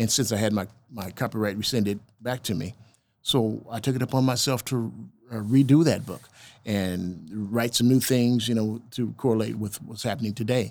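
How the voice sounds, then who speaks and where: A man with an unremarkable speaking voice, a moderate pace and fairly even intonation, in a very clean recording with a silent background. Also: medium pitch for a man. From Oklahoma (moved from Milwaukee as a child). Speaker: jazz guitarist and author. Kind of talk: casual interview.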